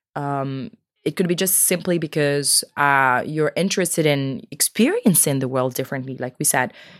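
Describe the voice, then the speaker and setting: A woman speaks in an animated tone. Her pace is moderate. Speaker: podcast co-host. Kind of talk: casual chat. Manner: animated, laughs often.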